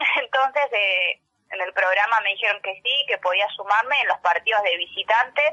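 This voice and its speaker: Here is a woman with a normal speaking voice, fairly high in pitch. She talks at a moderate pace with ordinary pitch variation. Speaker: sports journalist and taekwondo athlete. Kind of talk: radio interview.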